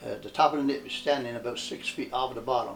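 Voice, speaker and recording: A man talks at a fairly quick pace. He speaks in a Newfoundland accent. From Newfoundland, Canada. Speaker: former cod fisherman. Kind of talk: interview answer.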